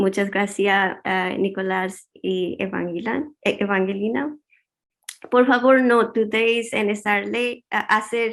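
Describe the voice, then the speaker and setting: A woman with a non-native accent speaks at a very slow pace with fairly even intonation. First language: not Spanish (speaking Spanish). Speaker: researcher. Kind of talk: conference talk. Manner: halting in Spanish.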